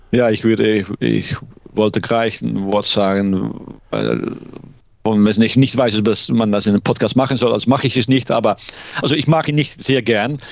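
Fairly low male speech with ordinary pitch variation, delivered at a moderate pace. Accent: Dutch. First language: Dutch (speaking German). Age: 50s. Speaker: law lecturer, ice hockey fan. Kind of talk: casual interview. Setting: remote call. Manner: hesitant, many fillers.

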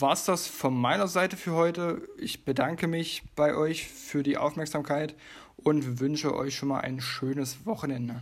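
A man's plain, everyday voice, fairly high in pitch, at a fairly slow pace with ordinary pitch variation. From Leipzig, Saxony. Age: 20s. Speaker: podcast co-host, physiotherapist. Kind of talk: casual podcast chat.

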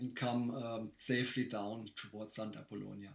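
A man speaks with a German accent. His pace is moderate. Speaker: race director. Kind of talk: casual chat. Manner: halting.

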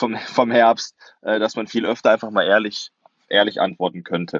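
The man's fairly low voice holds fairly even intonation. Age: 20s. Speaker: sports reporter and author. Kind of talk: podcast discussion. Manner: halting, many fillers.

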